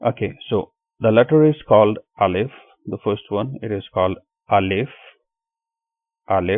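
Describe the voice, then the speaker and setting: With a Pakistani accent, a man speaks in a fairly low voice with ordinary pitch variation and long, frequent pauses. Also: moderate pace. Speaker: online Quran teacher. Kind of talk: tutorial. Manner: hesitant, with filler words.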